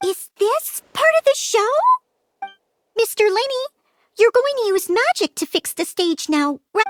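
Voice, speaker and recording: In a put-on character voice, the speaker squeaks at an extremely high pitch and a moderate pace, broken by long, frequent pauses. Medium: video game. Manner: excitable, emotional.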